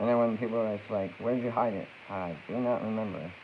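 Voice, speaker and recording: Audible room echo surrounds a man with a fairly low pitch. He speaks at a very fast pace. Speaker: streamer. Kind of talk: casual chat. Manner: animated.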